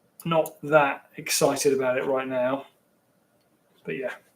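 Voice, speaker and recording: This is a man speaking. His voice sits fairly high. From London, England. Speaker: live streamer. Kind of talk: casual live stream chat. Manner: rambling, halting.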